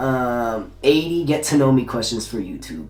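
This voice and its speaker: The speaker has an American accent and keeps a moderate pace. Music plays in the background. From Southern California, Torrance. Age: 20s. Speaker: YouTuber. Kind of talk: casual vlog Q&A. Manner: casual, filler-heavy.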